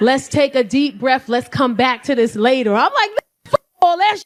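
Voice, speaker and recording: A woman with a high pitch, an animated tone and very wide pitch swings. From New York, South Bronx. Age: 40s. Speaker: comedian. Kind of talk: stand-up. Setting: stage with audience.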